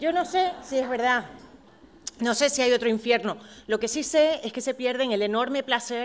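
This woman's voice sits fairly high. She speaks at a moderate pace with ordinary pitch variation. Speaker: award recipient. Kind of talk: acceptance speech. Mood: warm, emphatic. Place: stage. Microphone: podium.

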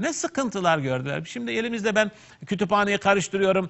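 A man speaks with very wide pitch swings. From Turkey. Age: 50s. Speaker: preacher; religious teacher on TV program. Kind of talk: religious talk. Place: studio. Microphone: lapel.

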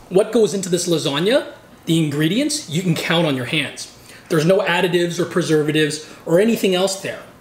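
The speech moves at a fairly quick pace with ordinary pitch variation and audible room echo. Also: man. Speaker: food vlogger. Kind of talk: casual vlog chat.

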